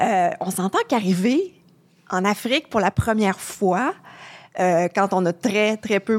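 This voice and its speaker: A woman speaks in an ordinary speaking voice, medium in pitch, with lively intonation at a fairly slow pace. The sound is dry and close, with no echo. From Quebec. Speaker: travel journalist. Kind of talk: podcast interview. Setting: studio.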